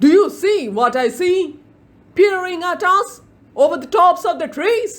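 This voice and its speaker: Using a put-on character voice, a woman speaks at a moderate pace with an extremely high pitch. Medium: read story.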